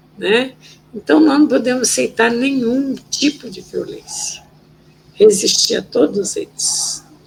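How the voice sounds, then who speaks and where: A woman with a high voice speaks very slowly, her pitch swinging very widely and her loudness rising and falling sharply. Noticeable background noise runs underneath. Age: 70s. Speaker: former political prisoner and human rights activist. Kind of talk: interview testimony.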